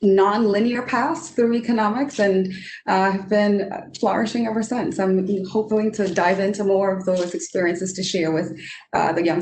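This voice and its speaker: Somewhat breathy speech at a moderate pace, with ordinary pitch variation and audible room echo. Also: woman. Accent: Trinidadian. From Trinidad. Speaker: economist. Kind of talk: panel discussion.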